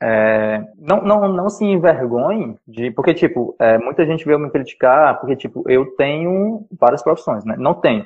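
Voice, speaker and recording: A man talks at a fairly slow pace with hardly any pauses. His pitch swings very widely. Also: fairly high pitch for a man. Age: 20s. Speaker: podcast host. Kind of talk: casual chat.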